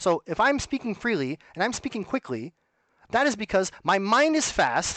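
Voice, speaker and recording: A man speaks with very wide pitch swings and a bright, sharp tone. The sound is dry and close with no echo, over a quiet background. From Canada. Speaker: streamer. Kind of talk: monologue to camera. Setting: alone at home. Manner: fast; animated.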